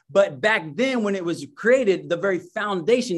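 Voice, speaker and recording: An American accent from a man with a high pitch, lively intonation and a fairly quick pace. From Indiana, US Midwest. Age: 40s. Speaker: racial justice worker and minister. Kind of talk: casual interview chat. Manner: halting, many repeated words.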